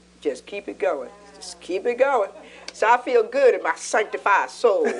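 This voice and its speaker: A woman speaks at a moderate pace with big swings in loudness, over noticeable background noise. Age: 60s. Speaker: pastor and talk show co-host. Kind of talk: casual chat.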